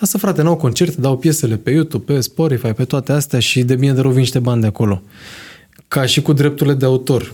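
A somewhat breathy man's voice at medium pitch, very fast, with very even loudness and ordinary pitch variation. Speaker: podcast host. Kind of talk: casual chat.

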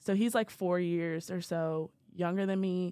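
Speaking at a fairly slow pace, a woman has a dark, mellow tone, a fairly low pitch and ordinary pitch variation. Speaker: college student podcast co-host. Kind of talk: casual chat.

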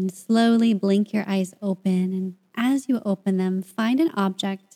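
Her tone dark, mellow, soothing and calm, a woman of medium pitch speaks at a fairly slow pace with fairly even intonation. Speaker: podcast host and meditation guide. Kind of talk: guided meditation. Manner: slow, soothing, calm and gentle, with long pauses.

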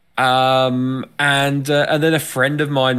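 Speaking with an English accent, a man at medium pitch uses a bright, sharp tone at a very slow pace. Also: very clean recording, silent background. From England. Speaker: podcast co-host. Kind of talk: casual chat.

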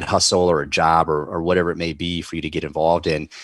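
Against a quiet background, someone with a Southern US accent talks at a very fast pace. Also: man. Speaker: podcaster and CRNA. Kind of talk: casual interview chat.

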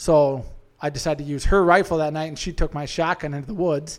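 With an Upper Midwest accent, a man talks at a fairly quick pace with fairly high pitch and fairly even intonation, on a very clean recording with a silent background. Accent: Upper Midwest (Minnesota). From Central Minnesota. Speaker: hunter. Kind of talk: casual chat.

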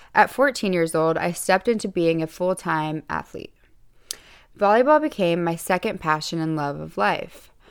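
Using a normal speaking voice, a woman talks at a moderate pace with lively intonation and a fairly low pitch. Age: 20s. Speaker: podcast host and fashion model. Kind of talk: scripted monologue; casual solo talk.

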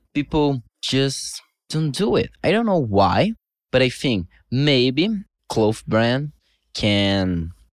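A man with a Brazilian accent at a very slow pace, with long, frequent pauses, very wide pitch swings and a very clean recording over a silent background. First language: Portuguese. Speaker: TikTok influencer. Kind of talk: casual interview.

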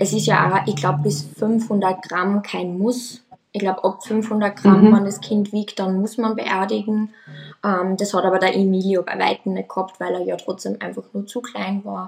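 Speaking at a moderate pace, a woman with a plain, everyday voice keeps her medium pitch on fairly even intonation. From Austria. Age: 20s. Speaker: nursery teacher sharing pregnancy loss story. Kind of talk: personal testimony.

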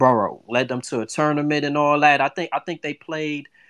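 A man is speaking. He has a New York accent. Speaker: sports podcast host. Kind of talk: live call-in sports discussion. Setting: live online audio room. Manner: casual, hesitant with many fillers.

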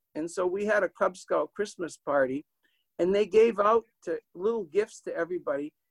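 A man with a New England accent speaks at a moderate pace and high pitch, with ordinary pitch variation. The sound is dry and close with no echo. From Manchester, New Hampshire. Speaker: author and storyteller. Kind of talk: storytelling.

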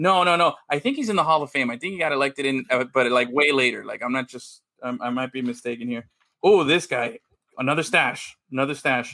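Loud and fairly quick, a man's voice comes through with a bright, sharp tone. His pitch is fairly high, with ordinary pitch variation. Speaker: podcast co-host. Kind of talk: casual chat.

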